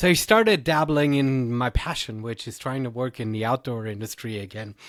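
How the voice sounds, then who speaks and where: Loudness swings widely as a man with a German accent speaks at a fairly quick pace. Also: medium pitch for a man, ordinary pitch variation. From Germany. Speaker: trail race director and podcaster. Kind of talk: podcast interview.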